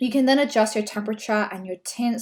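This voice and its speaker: An Australian accent comes through a very clean recording with a silent background, the pitch varying in an ordinary way. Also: woman. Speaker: brand photographer. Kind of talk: tutorial. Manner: casual, conversational.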